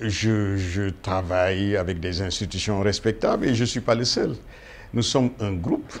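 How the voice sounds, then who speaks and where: A man talks at a fairly slow pace. His voice is fairly low, with ordinary pitch variation. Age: 60s. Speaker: aviation industry expert. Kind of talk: interview. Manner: hesitant, many fillers.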